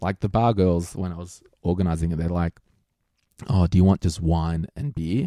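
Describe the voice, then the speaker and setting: A man with an Australian accent speaks at a very deep, low pitch in a dark, mellow tone, with ordinary pitch variation at a moderate pace and a dry, close sound with no echo. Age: 30s. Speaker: financial planner. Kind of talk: interview. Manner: casual.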